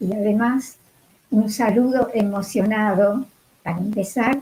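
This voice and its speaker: A woman with a fairly high pitch speaks very slowly in a somewhat breathy voice with a dark, mellow tone. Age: 80s+. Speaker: music educator. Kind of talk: online talk.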